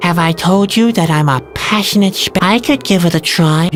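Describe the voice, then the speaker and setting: Someone uses a put-on character voice at a middle pitch and moderate pace, with clear music playing in the background. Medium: fan dub. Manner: soft-spoken, polite.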